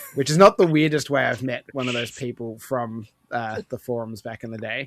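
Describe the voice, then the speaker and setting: A man talks at medium pitch with ordinary pitch variation and a moderate pace. The sound is dry and close, with no echo. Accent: Australian. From Australia. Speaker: gaming podcaster. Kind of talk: casual chat.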